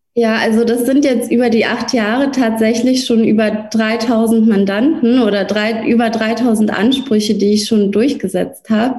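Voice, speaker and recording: Amid noticeable background noise, a woman speaks at a moderate pace with hardly any pauses, her fairly high pitch held in a monotone, flat intonation and her loudness very even. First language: Russian (speaking German). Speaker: lawyer. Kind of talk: interview.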